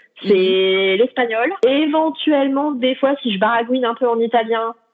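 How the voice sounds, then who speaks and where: A woman is speaking. Her voice is high in pitch. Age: 30s. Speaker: traveller. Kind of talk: interview. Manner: hesitant, many fillers.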